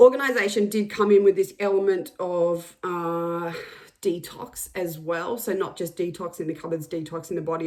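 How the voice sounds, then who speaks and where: Here is a woman with an unremarkable speaking voice at a medium pitch. She keeps a moderate pace and lively intonation. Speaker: psychic energy reader. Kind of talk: channeled energy reading.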